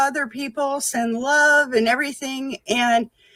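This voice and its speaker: Her intonation is fairly even as the woman talks at a high pitch. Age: 60s. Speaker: spiritual healer and psychic. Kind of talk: interview. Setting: live streamed talk show.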